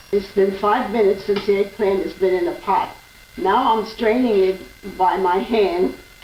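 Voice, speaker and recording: Noticeable background noise accompanies a woman whose pitch varies in an ordinary way. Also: medium pitch for a woman, moderate pace. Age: 80s+. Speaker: home cook. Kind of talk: cooking demonstration.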